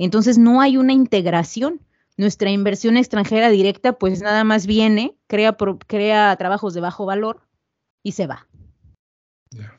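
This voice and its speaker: At a fairly slow pace, the voice shows ordinary pitch variation, big swings in loudness and long, frequent pauses. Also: woman, fairly high pitch for a woman. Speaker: author and researcher. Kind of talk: interview.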